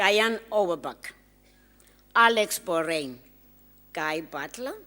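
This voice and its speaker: A woman with a non-native accent speaks at a very slow pace. Her pitch swings very widely. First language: not English. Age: old. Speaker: graduation speaker. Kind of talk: commencement address. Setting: graduation ceremony hall.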